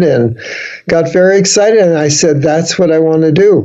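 With an American accent, a man speaks at a high pitch and a moderate pace, his intonation fairly even and the room echo audible. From New York City (the Bronx). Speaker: humor speaker and author. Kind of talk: interview. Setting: video call.

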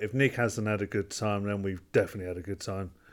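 Fairly low in pitch, a man talks in a normal speaking voice. His intonation stays fairly even. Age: 30s. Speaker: podcast co-host. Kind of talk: casual chat.

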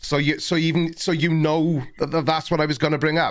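A man's fairly high voice with a British accent at a moderate pace. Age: 40s. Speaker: livestream podcast host. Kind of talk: casual chat. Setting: video call.

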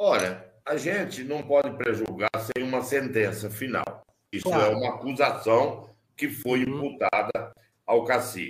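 With ordinary pitch variation and a fairly slow pace, this is a normal speaking voice. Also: man, medium pitch for a man. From southern Mato Grosso, Brazil. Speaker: politician. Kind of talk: interview. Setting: video call.

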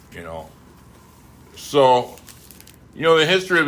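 Using very wide pitch swings, a man talks with an Upper Midwest accent. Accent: Upper Midwest American. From Wisconsin. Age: 50s. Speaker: podcaster in recovery. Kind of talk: casual monologue. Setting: home recording.

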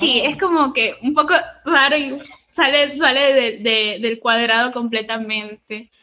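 A woman speaks at a high pitch with a bright, sharp tone. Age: 20s. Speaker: lettering artist and entrepreneur. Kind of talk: interview.

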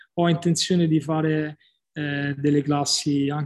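A man speaks at a fairly high pitch, somewhat breathy. His intonation is monotone and flat, at a moderate pace. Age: 40s. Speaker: CrossFit gym owner and fitness coach. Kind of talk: podcast interview. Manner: halting, many repeated words.

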